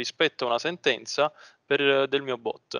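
A man speaks at a fairly slow pace with a bright, sharp tone. The sound is dry with no echo and the background is quiet. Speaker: student; presenter. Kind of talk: tutorial. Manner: halting. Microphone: video call.

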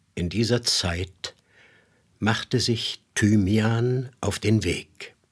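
A man speaks in a solemn, dramatic tone, somewhat breathy, with ordinary pitch variation. The recording is very clean, with a silent background. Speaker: voice actor narrator. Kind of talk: mythic fairy-tale narration, solemn biblical-style storytelling. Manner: slow, solemn, dramatic, grave and hypnotic.

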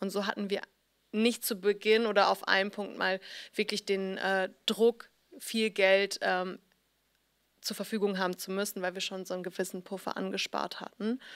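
Her intonation monotone and flat, a woman speaks at a moderate pace with long, frequent pauses. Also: quiet background. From Hamburg, northern Germany; Germany. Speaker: fashion blogger and founder. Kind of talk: interview; interview answer. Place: studio. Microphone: handheld.

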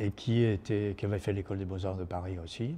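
This man has a fairly low voice, dark and mellow in tone.

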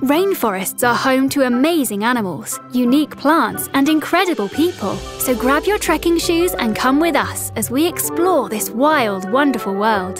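A woman's high-pitched voice at a moderate pace with very wide pitch swings and hardly any pauses, in a dry sound with no echo over clear music in the background. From United Kingdom. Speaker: voice actor. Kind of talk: children's e-learning narration. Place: studio.

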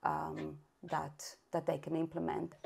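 At a moderate pace, a woman talks in a Spanish accent. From Spain (Catalonia). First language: Spanish or Catalan. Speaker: early intervention specialist and parent. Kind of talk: interview conversation. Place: home room. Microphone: video call.

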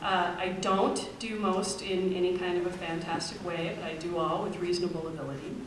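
Light background noise and audible room echo surround a woman's voice. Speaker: speaker. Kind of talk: personal talk to an audience. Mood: relaxed, personal. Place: hall.

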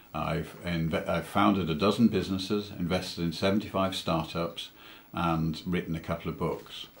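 A man with a British accent speaks at a moderate pace. His pitch is very deep and low, with fairly even intonation. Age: 60s. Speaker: entrepreneur, angel investor, cancer patient. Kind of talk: interview answer. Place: home room. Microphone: webcam.

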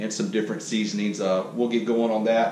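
With ordinary pitch variation, this man talks amid noticeable background noise and audible room echo. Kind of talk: tutorial. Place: kitchen. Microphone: camera far.

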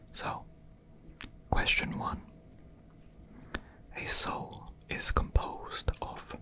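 Whispering very slowly, a man speaks. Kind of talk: casual thinking aloud, reading quiz questions. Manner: soft murmured ASMR reading aloud.

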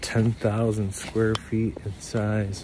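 Against noticeable background noise, a man talks in a fairly low, monotone, flat voice, the sound dry with no echo. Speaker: vlogger. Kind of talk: casual vlog chat. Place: forest. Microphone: phone near.

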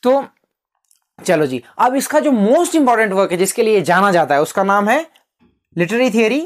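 Over a quiet background, a man's high voice makes very wide pitch swings at a moderate pace. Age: 20s. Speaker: literature tutor; teacher. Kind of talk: lecture. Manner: casual, repetitive. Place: classroom. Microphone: lapel.

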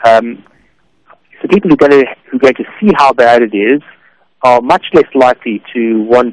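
A man's unremarkable speaking voice at medium pitch and moderate pace, with ordinary pitch variation and a dry, close sound with no echo. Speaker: philosophy professor. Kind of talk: radio interview. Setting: phone call.

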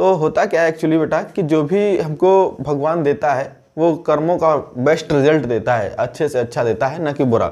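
A fairly slow-paced male voice, its pitch varying in an ordinary way. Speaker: teacher. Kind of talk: motivational talk to students. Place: classroom. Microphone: lapel.

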